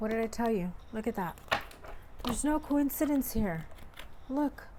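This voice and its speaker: Over noticeable background noise, a woman speaks at a moderate pace with lively intonation and very even loudness. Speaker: tarot reader. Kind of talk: tarot reading to camera.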